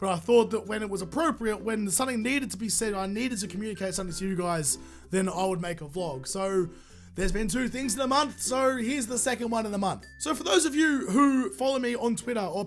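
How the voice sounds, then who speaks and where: Over music in the background, someone with an Australian accent talks at a very fast pace with lively intonation. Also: man. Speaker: gaming YouTuber. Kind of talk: casual talk to camera.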